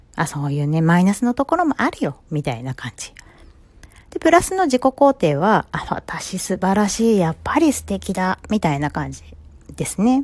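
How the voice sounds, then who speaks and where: This woman talks at a moderate pace in a medium pitch, with very wide pitch swings and a dry, close sound that has no echo. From Japan, Ibaraki. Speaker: psychological counselor. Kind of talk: solo podcast talk. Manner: casual, filler-heavy.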